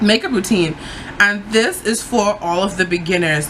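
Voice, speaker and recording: Noticeable background noise sits behind a woman whose speech has ordinary pitch variation. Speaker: beauty vlogger. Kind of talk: tutorial. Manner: casual, lots of fillers.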